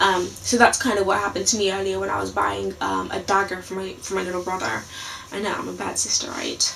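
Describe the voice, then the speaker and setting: Talking at a very fast pace, a woman is heard with audible room echo and noticeable background noise. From London. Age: 20s. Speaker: vlogger. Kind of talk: casual video blog. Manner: hesitant, many fillers.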